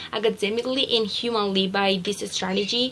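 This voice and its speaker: Against noticeable background noise, a woman with a Spanish accent speaks with fairly even intonation. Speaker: student teacher. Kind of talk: reflective journal reading. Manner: halting.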